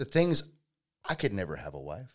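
A man speaks with a Georgia accent. His medium-pitched voice carries vocal fry. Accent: Southern American (Georgia). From US South, Georgia (Powder Springs). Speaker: electrician and small business owner. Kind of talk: casual interview, personal life story.

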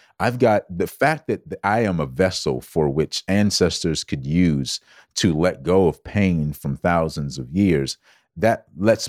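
A man's very deep, low voice with an American accent, lively intonation and an animated tone, at a fairly slow pace, in a very clean recording with a silent background and a dry, close sound with no echo. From US South, Georgetown, South Carolina. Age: 40s. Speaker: wellness coach. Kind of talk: casual chat.

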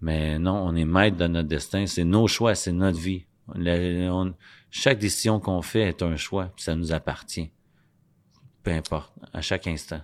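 In a Quebec accent, a man with a very deep, low pitch speaks at a fairly slow pace with fairly even intonation and long, frequent pauses, on a very clean recording with a silent background. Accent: Québécois French. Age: 40s. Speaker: addiction recovery speaker and rapper. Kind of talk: interview. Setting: studio.

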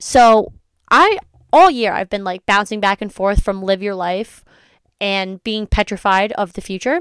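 A woman speaks at a fairly slow pace in a medium pitch, with ordinary pitch variation and an animated tone. The sound is dry and close with no echo, on a very clean recording with a silent background. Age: 20s. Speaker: podcast host. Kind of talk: casual monologue. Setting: home recording in a closet.

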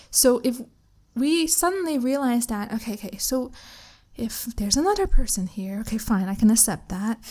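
Here a woman with a Canadian accent speaks at a moderate pace. Her voice is fairly high with a dark, mellow tone. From Canada. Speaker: relationship coach. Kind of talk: podcast interview. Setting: remote call.

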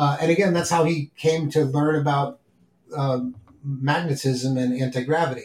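With a New York accent, a man speaks in a somewhat breathy, fairly high voice at a moderate pace and with fairly even intonation. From New York City (Bronx and Queens). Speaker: podcast host. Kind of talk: casual chat. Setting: at the kitchen table.

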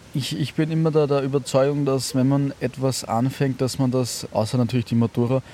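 At a fairly quick pace, a man speaks in a monotone, flat intonation at a medium pitch. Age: 20s. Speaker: startup founder and author. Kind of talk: interview. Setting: outdoors in a park.

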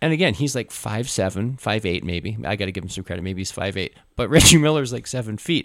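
A man talks very fast with lively intonation and hardly any pauses. The recording is very clean, with a silent background. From Canada, Winnipeg, Manitoba. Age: 50s. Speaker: high school English teacher. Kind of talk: casual chat. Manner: high energy.

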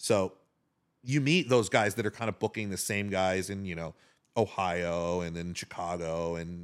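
A man talks with a very deep, low pitch. The recording is very clean and the background silent. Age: 40s. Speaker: DJ. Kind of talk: casual chat.

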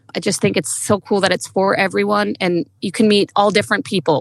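On a very clean recording with a silent background, a woman talks at a fairly quick pace and medium pitch with vocal fry, in a dry, close sound with no echo. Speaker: coach's wife, amateur runner. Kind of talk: casual chat. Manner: animated.

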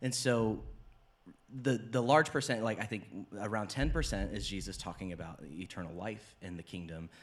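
With vocal fry and lively intonation, a man talks at a moderate pace and fairly low pitch on a very clean recording with a silent background. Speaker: pastor and podcast host. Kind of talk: casual chat.

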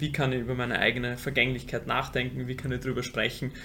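A man talks at a medium pitch. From Vienna, Austria. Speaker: funeral company co-founder. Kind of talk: interview. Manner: halting, repeats words.

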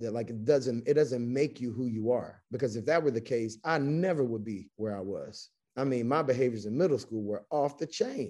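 At a moderate pace and with hardly any pauses, a man with an American accent talks in a dark, mellow tone at medium pitch, with ordinary pitch variation against a quiet background. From US South, Chattanooga, Tennessee. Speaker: educator, school founder. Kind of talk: casual interview. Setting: video call.

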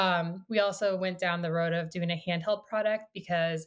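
Recorded very cleanly against a silent background, a woman with an American accent talks at a fairly quick pace in an unremarkable speaking voice, with medium pitch and ordinary pitch variation. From US Midwest, small-town Iowa. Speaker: company founder and CEO. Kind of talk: interview.

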